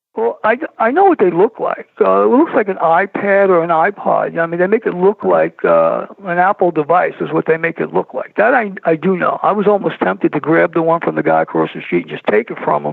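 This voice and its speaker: A man talks at a fairly quick pace with a New York accent. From New York City (Brooklyn). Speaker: filmmaker, paranormal guest. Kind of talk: interview.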